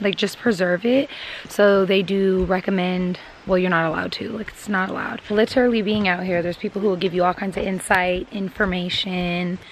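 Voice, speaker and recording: A woman talks at a fairly quick pace. The sound is dry with no echo, over light background noise. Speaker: vlogger. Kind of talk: casual vlog chat. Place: forest. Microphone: phone near.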